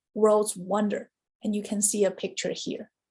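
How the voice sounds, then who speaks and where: The voice carries a Chinese accent. It sounds somewhat breathy. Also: woman. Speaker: university study abroad administrator and Chinese professor. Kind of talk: informational presentation. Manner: clear, explanatory.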